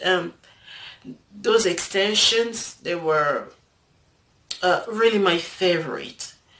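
A woman with a non-native accent and lively intonation, at a very slow pace, over light background noise. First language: not English. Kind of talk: casual talk to camera. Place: home room. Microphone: phone near.

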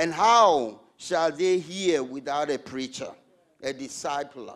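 A man at a very slow pace over a quiet background. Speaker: preacher. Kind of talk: sermon. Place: church. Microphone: handheld.

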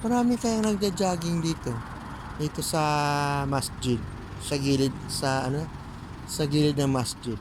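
Noticeable background noise sits under talking that moves at a fairly slow pace. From Philippines, Western Visayas (Iloilo, Calinog). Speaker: vlogger. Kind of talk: casual vlog narration. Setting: outdoors. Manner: rambling with frequent fillers.

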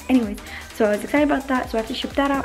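Faint music plays behind a woman as she talks. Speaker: vlogger. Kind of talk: casual vlog chat. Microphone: phone near.

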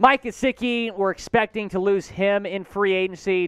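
The man's voice comes through as a dry sound with no echo against a quiet background. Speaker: sports show host. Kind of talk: news commentary. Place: studio. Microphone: headset.

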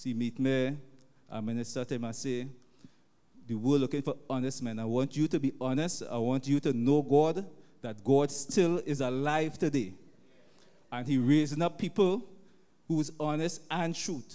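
A man with a Trinidadian accent and a dark, mellow tone, fairly high in pitch, at a moderate pace with ordinary pitch variation and long, frequent pauses. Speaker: taxi driver. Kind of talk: testimony. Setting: church.

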